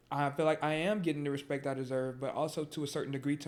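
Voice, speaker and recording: Very fast and monotone, a man with an American accent talks in a fairly high, flat voice. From Georgia, US. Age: 20s. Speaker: musician. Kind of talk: casual chat. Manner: repetitive, halting.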